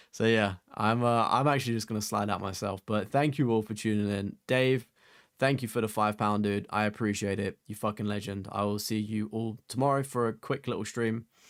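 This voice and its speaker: Intonation remains fairly even. The voice comes with an English accent. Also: man. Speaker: gaming streamer. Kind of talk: live stream chat. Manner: casual, filler-heavy.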